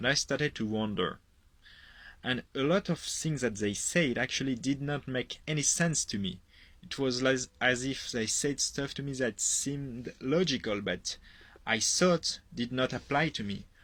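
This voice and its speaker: A man with a French accent at a fairly slow pace, ordinary pitch variation, and a very clean recording against a silent background. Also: medium pitch for a man. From France. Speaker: product user giving testimonial. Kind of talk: testimony. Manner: hesitant, with fillers.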